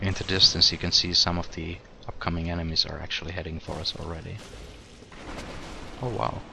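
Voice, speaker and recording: A man's very deep, low voice at a fairly quick pace, with fairly even intonation, big swings in loudness, long, frequent pauses and noticeable background noise. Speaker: gaming video creator. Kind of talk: let's play commentary. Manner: casual, conversational; quiet.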